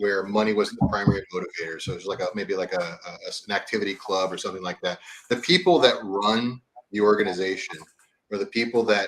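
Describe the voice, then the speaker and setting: An unremarkable speaking voice from a man with an American accent, fairly low in pitch, at a fairly quick pace. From US South, East Texas. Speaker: livestream guest. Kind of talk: casual chat.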